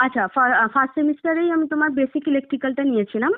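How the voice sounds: A woman talks at a very fast pace in a high pitch, with ordinary pitch variation. The sound is dry and close, with no echo.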